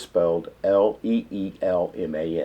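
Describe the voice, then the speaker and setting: This man's voice has a dark, mellow tone and lively intonation. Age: 60s. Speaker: nonprofit director. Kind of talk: documentary interview. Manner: halting.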